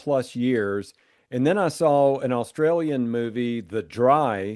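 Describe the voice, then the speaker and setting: Against a quiet background, a man talks at a very slow pace. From US South. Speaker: podcast host, editor. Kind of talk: podcast interview.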